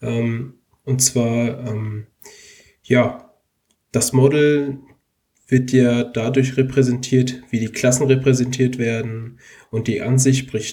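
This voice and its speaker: Somewhat breathy and dark, mellow in tone, a man speaks at a medium pitch with monotone, flat intonation. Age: 20s. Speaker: computer science student and app developer. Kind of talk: casual tech podcast chat.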